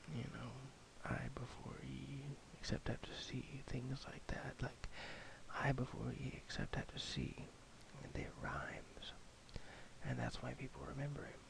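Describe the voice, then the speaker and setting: A man whispers fairly slowly, pausing often and at length. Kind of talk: casual talk to camera. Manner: slow, rambling, soft-spoken.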